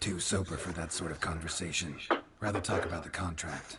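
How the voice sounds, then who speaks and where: Someone does a put-on character voice at a fairly quick pace with monotone, flat intonation. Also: man, very deep, low pitch for a man. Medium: video game.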